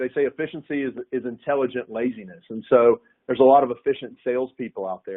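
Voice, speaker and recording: Speaking at a very fast pace, a man keeps a medium pitch. His pitch varies in an ordinary way. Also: big swings in loudness. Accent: American. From US South, north Florida. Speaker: sales executive. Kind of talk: webinar panel discussion. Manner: halting, many repetitions.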